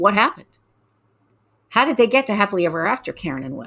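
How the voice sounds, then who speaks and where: A woman talks very fast at a medium pitch with a bright, sharp tone and big swings in loudness. The recording is very clean, with a silent background. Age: 60s. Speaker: metaphysician and intuitive author. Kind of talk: casual interview chat.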